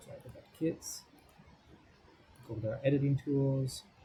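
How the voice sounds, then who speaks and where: Somewhat breathy and dark, mellow in tone, a man speaks at medium pitch. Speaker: software tutorial presenter. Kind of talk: screen-recorded tutorial. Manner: fast.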